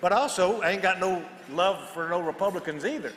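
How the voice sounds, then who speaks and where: Noticeable background noise behind a man speaking in a high pitch. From Texas. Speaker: political commentator, podcast co-host. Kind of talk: panel discussion.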